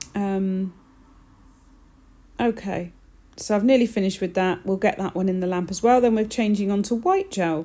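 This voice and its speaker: A woman speaks at a moderate pace with a dark, mellow tone, medium pitch and fairly even intonation. Long, frequent pauses fall within a very clean recording with a silent background. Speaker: nail technician. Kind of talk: tutorial. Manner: subdued, flat.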